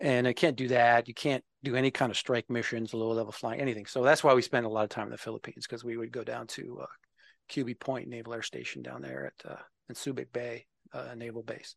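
Against a quiet background with a dry, close sound and no echo, a man talks at a very fast pace with vocal fry, fairly even intonation and big swings in loudness. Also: medium pitch for a man. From Minnesota, US Midwest. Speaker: software developer advocate, navy veteran. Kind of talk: interview conversation. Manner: halting, many fillers.

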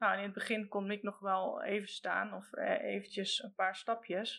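A moderate pace in monotone, flat intonation. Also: woman. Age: 40s. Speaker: train conductor, mother of a son with Duchenne. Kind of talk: casual interview.

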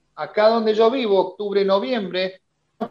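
With an Argentine accent, a man talks at a fairly slow pace. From Argentina. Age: 50s. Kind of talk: casual interview.

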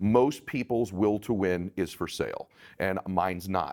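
A man with a plain, everyday voice speaks in a fairly low pitch and fairly even intonation, in a very clean recording with a silent background and a dry, close sound with no echo. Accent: American. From Southern California. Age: 40s. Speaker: life strategist and entrepreneur. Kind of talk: interview.

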